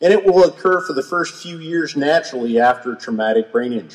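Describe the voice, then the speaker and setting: Pitch variation is ordinary and the pace moderate as a man talks. Around him, the background stays quiet. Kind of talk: public speech. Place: hall. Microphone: podium.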